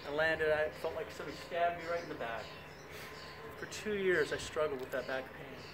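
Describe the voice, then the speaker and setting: A man speaks fairly quickly at a fairly high pitch, with audible room echo and noticeable background noise. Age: 60s. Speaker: fitness instructor. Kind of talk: tutorial. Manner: animated.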